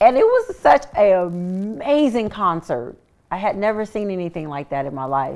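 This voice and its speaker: A woman of medium pitch speaks in an American accent at a moderate pace, her pitch swinging very widely and her loudness varying greatly. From Sacramento, California. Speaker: singer and author. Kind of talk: interview.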